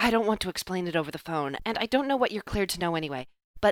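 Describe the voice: Plain reading aloud moves along with lively intonation over a quiet background.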